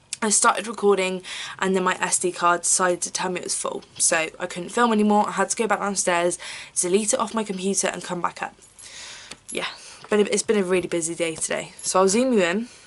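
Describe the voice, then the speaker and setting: A woman speaks with an English accent at a very fast pace. Her pitch is medium. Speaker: beauty vlogger. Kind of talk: tutorial. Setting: at home filming on camera. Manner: casual, chatty with fillers.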